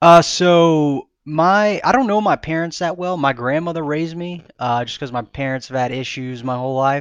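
Against a quiet background, a man with a normal speaking voice and an American accent talks at a moderate pace and a fairly high pitch with ordinary variation, hardly pausing at all. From US South, Mobile, Alabama. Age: 20s. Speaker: record label owner and hardcore musician. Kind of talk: casual interview.

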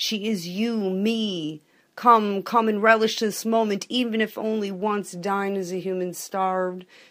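Against a silent background on a very clean recording, a woman talks with fairly even intonation in an unremarkable speaking voice. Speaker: poet. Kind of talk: poetic spoken word, reading aloud.

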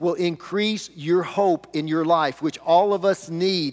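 With a Southern US accent, a man speaks in a high voice and an animated tone. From US South (rural). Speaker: pastor. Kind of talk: sermon.

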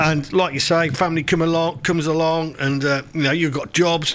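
This man speaks at a fairly quick pace. Noticeable background noise runs behind him. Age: 60s. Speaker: community radio host. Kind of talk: casual radio presenting and interview.

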